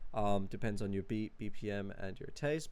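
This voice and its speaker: A man talks with ordinary pitch variation. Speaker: music producer. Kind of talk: tutorial. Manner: many filler words, casual.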